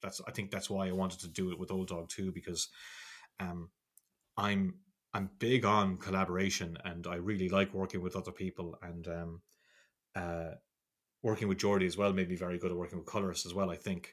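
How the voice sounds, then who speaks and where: In a very clean recording with a silent background, a man with an Irish accent speaks at a fairly quick pace in a very deep, low, monotone voice with flat intonation and long, frequent pauses. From Ireland. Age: 40s. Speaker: comic book artist and writer. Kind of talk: casual chat.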